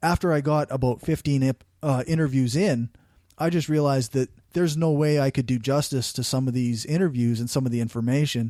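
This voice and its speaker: A man in a strong Canadian accent, fairly high in pitch, dark and mellow in tone, with fairly even intonation, on a very clean recording with a silent background. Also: dry, close sound with no echo. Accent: thick rural Canadian. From rural Canada. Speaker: podcaster. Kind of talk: interview conversation.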